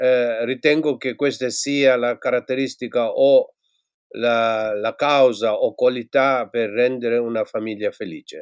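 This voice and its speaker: The recording is very clean, with a silent background and a dry, close sound with no echo. A man talks at a medium pitch with fairly even intonation. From Tibet. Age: 60s. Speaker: former Buddhist monk and teacher. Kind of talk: interview. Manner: halting.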